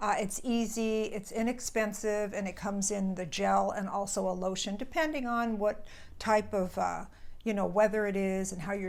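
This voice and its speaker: With audible room echo, a woman at a medium pitch talks at a moderate pace with fairly even intonation. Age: 70s. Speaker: skincare vlogger. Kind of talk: casual product review. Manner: conversational, some stumbles.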